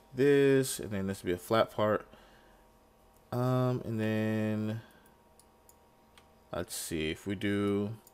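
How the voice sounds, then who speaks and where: Noticeable background noise sits under a man with a fairly low pitch. He speaks at a very slow pace with ordinary pitch variation. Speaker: gaming video creator. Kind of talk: gameplay tutorial commentary. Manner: casual, thinking aloud.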